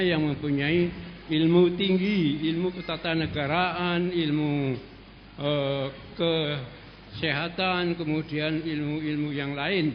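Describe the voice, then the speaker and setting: Audible room echo surrounds a man with a fairly high pitch. He speaks at a very slow pace with fairly even intonation. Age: 70s. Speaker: audience member asking a question. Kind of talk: question at a religious study session. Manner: halting.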